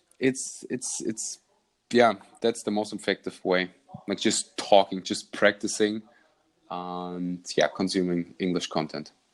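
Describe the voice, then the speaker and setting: With a German accent, a man speaks fairly slowly in a fairly low voice and fairly even intonation against a quiet background. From Germany. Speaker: podcast host and vlogger. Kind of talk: casual interview chat.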